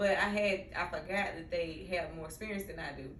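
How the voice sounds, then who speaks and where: A woman with a Mississippi accent at a fairly quick pace, fairly even in intonation, with audible room echo and noticeable background noise. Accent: Mississippi country. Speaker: social worker and therapist, podcast host. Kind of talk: casual vlog monologue. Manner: conversational with many fillers.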